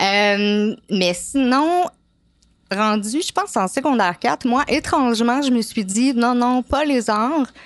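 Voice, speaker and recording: Her intonation lively, a woman talks at a very slow speed. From Quebec, Montreal. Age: 30s. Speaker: apprentice tattoo artist. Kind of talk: interview. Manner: hesitant, many fillers.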